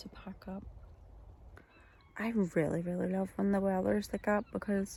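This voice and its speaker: Soft-spoken delivery at a moderate pace. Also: woman. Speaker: outdoor vlogger. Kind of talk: casual vlog. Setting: outdoors camping in tent. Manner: soft-spoken, low.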